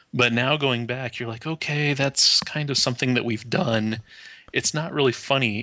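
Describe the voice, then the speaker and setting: A man with an American accent talks at a fairly quick pace in a medium pitch. He has a plain, everyday voice with ordinary pitch variation. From United States. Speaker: podcast co-host. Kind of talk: casual chat.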